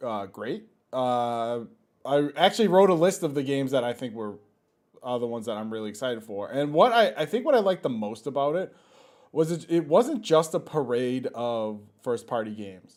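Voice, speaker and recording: A man speaks at a moderate pace with big swings in loudness, in a very clean recording with a silent background. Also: medium pitch for a man, lively intonation. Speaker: gaming podcast co-host. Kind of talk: casual chat.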